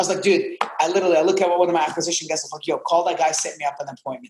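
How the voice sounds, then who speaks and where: Speaking with an Arabic accent, a man uses a high pitch, an animated tone and ordinary pitch variation. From Jordan (Amman). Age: 20s. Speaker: real estate investor. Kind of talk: casual interview.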